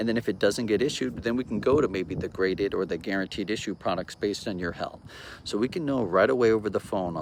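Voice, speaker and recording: Lively intonation runs through this man's speech. He talks at a very fast pace. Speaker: insurance agent. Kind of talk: sales pitch. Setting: outdoors.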